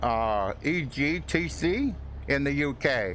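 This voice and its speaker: With an American accent, a man at a fairly high pitch swings very widely in pitch, and audible room echo surrounds his voice. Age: 70s. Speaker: flight sim streamer. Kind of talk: live stream commentary. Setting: live stream. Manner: halting.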